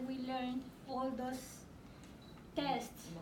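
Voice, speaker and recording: A non-native accent amid noticeable background noise. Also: woman. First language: not English. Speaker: adult ESL student and program graduate. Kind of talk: impromptu graduation ceremony speech.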